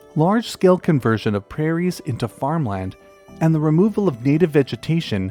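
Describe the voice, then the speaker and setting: A man's fairly high voice at a moderate pace, with very wide pitch swings, dry, close sound with no echo, and music in the background. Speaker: nature documentary narrator. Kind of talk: documentary narration.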